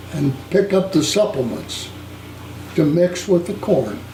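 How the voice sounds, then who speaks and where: A fairly slow voice with a Midwestern US accent, audible room echo, and noticeable background noise. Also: man. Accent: US Midwest. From Ohio. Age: 80s+. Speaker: war veteran. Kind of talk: interview. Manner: halting.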